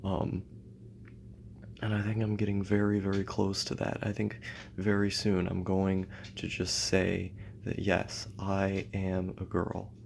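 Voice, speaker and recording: A quiet man with a fairly low pitch speaks in a flat monotone at a fairly slow pace, with long, frequent pauses. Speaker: YouTuber. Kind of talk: personal vlog monologue.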